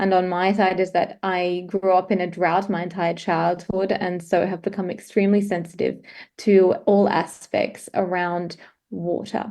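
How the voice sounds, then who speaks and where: With an Australian accent, a woman speaks at a moderate pace and medium pitch, her dark, mellow tone delivered in monotone, flat intonation against a quiet background. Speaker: climate consultant. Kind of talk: presentation.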